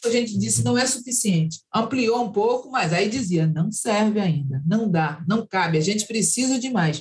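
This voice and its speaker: At a moderate pace with hardly any pauses, a woman uses a normal speaking voice at medium pitch with lively intonation. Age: 60s. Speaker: activist and human rights director. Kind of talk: interview.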